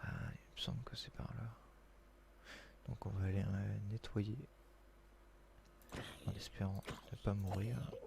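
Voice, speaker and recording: Soft-spoken, a man talks at a very slow pace with long, frequent pauses. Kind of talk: casual gameplay commentary.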